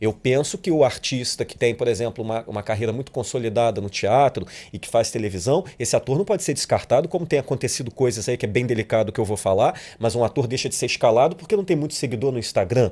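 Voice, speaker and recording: Speaking at a very fast pace with hardly any pauses, a man uses lively intonation in a dark, mellow tone at a medium pitch. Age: 40s. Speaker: actor and director. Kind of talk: casual chat. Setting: studio.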